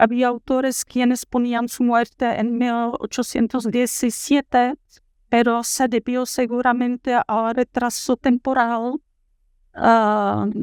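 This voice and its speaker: A woman with a Czech accent, high-pitched, very slow and monotone with flat intonation, in a very clean, dry, close recording with a silent background and no echo. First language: Czech (speaking Spanish). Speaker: university professor. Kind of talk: lecture. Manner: halting, many filler sounds.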